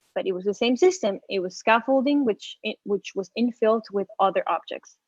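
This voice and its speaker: In a plain, everyday voice, a woman speaks at a fairly quick pace with a fairly high pitch and lively intonation, the sound dry and close with no echo. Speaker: architectural designer. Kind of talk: interview.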